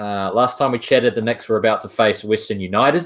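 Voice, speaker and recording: Against a quiet background, a man with a New Zealand accent talks at a fairly quick pace. His pitch is medium with ordinary variation. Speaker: sports podcast host. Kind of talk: sports podcast discussion.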